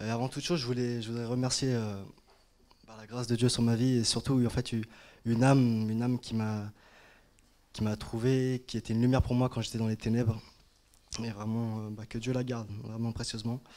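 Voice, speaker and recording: Monotone, flat intonation from a man at a fairly quick pace, broken by long, frequent pauses. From France, Paris area. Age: 20s. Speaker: churchgoer. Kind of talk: testimony. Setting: church. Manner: halting. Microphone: handheld.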